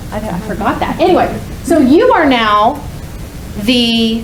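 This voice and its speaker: Against noticeable background noise and audible room echo, a woman speaks with a fairly high pitch. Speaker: conference speaker. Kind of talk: workshop talk. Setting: stage with audience. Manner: loud.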